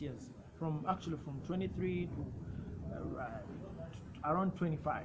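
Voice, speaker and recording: A man talks at a fairly high pitch. Audible room echo surrounds his voice. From Uganda. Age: 20s. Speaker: youth health rights advocate. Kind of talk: personal testimony and advocacy talk. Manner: some repetitions and self-corrections.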